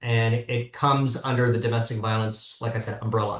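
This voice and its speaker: A man with an American accent speaks fairly quickly in a flat monotone. His voice is somewhat breathy, and the background is quiet. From US, Southern California. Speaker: criminal attorney, former prosecutor. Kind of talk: podcast interview.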